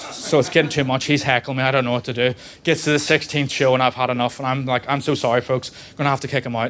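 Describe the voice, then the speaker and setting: Speaking at a very fast pace, a man delivers his lines in a medium pitch with monotone, flat intonation. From Northern Ireland, Belfast. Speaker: stand-up comedian. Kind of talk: stand-up. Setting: comedy club stage with audience.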